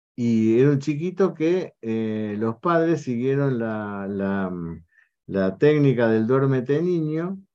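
Against a quiet background, a man talks at a very slow pace in a dark, mellow tone. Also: medium pitch for a man, lively intonation. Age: old. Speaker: homeopathic doctor and show host. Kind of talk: online talk show interview.

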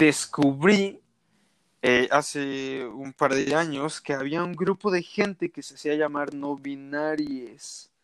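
A man with a fairly high pitch speaks with ordinary pitch variation. The recording is very clean, with a silent background. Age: 20s. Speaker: podcast guest. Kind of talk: casual interview.

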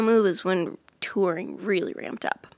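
The recording is very clean with a silent background. A woman with an American accent has an ordinary speaking voice at medium pitch, with ordinary pitch variation and a fairly slow pace. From Iowa, US Midwest. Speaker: touring musician, former teacher. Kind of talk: casual interview chat.

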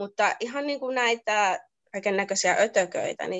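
A woman speaks at a fairly slow pace with a fairly high pitch and very wide pitch swings. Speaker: nurse. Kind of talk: casual interview.

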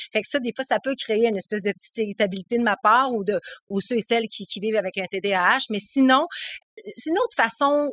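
Recorded dry and close with no echo, a woman in a Quebec accent speaks at a fairly quick pace in a fairly high pitch with ordinary pitch variation. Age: 30s. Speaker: author with ADHD. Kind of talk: casual interview. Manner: halting, many repetitions.

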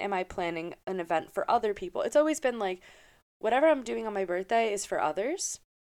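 A woman with an American accent speaks at a medium pitch in a very clean recording with a silent background. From upstate New York. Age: 20s. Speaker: podcast host. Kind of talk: solo casual monologue.

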